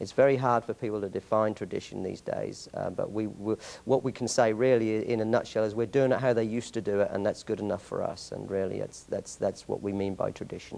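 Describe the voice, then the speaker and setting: A man speaks with an English accent at a very fast pace. He leaves hardly any pauses. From England. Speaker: martial arts master instructor. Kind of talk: interview. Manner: halting, many repeated words.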